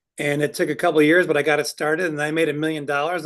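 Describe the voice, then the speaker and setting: Against a quiet background, a man with a fairly high pitch speaks at a fairly quick pace in an ordinary speaking voice. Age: 60s. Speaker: business owner. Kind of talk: interview.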